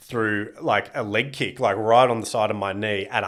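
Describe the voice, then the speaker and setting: In an Australian accent, a man speaks at a medium pitch. His pace is moderate and his intonation fairly even. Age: 30s. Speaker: comedian and former pro MMA fighter. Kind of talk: casual chat.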